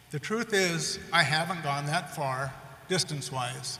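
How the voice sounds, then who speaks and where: A man with an American accent and a fairly high pitch, ordinary pitch variation, over noticeable background noise. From rural North Dakota, US Midwest. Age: 60s. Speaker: commencement speaker. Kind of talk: commencement speech. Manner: formal.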